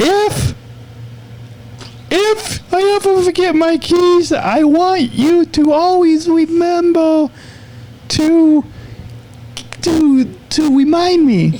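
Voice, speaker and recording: A man puts on a character voice with an extremely high pitch, speaking very slowly. Long, frequent pauses break it up over light background noise. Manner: creepy.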